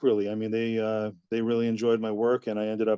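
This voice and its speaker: A man's medium-pitched, dark, mellow voice, flat and monotone, with a dry, close sound, no echo and a quiet background. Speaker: ring announcer, wrestling promoter. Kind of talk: interview answer.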